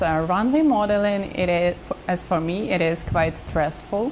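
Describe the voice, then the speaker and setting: Over noticeable background noise, a woman speaks at a fairly slow pace with lively intonation. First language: not English. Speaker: model. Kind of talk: interview. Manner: halting.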